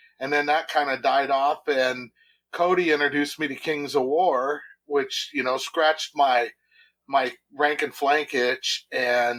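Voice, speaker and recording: Here is a man with a plain, everyday voice, fairly high in pitch and fairly slow. His intonation stays fairly even on a very clean recording with a silent background. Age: 60s. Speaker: tabletop wargamer, club founder. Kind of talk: casual podcast interview.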